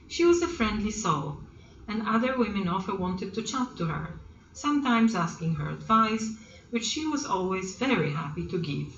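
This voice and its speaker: Over noticeable background noise, a woman with medium pitch speaks at a moderate pace with very wide pitch swings. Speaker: grandmother who writes stories. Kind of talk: storybook reading, children's story.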